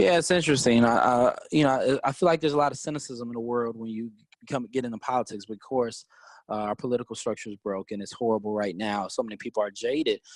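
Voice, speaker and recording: Talking at a very fast pace, a man with an American accent uses a medium pitch. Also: dry, close sound with no echo. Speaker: teacher, activist and congressional candidate. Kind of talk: interview. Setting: podcast. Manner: loud.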